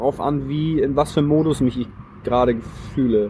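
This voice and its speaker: A man with a fairly high pitch speaks at a moderate pace and with fairly even intonation over noticeable background noise. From northern Germany, Flensburg. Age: 30s. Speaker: long-distance cyclist on tour. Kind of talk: casual interview. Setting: recorded on location near a church.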